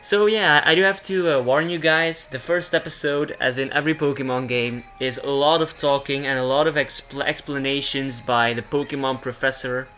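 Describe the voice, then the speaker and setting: The pace is moderate, with hardly any pauses. Music plays in the background. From Belgium. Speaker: gaming YouTuber. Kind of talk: let's play commentary. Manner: halting, many fillers and restarts.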